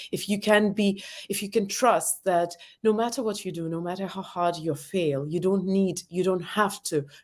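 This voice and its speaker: A woman with a non-native accent, ordinary pitch variation and a moderate pace, on a very clean recording with a silent background. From former Soviet Union. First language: not English. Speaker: author and entrepreneur. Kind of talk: interview. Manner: hesitant.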